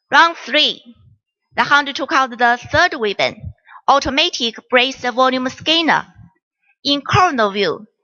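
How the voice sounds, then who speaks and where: Speaking at a fairly slow pace with a Chinese accent, a woman uses a high pitch and lively intonation. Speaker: doctor. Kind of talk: case presentation. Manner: formal.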